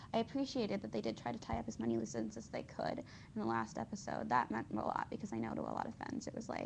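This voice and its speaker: A woman talks very fast with hardly any pauses, and noticeable background noise sits behind her. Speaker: vlogger. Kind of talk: casual monologue. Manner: rambling, hesitant with fillers.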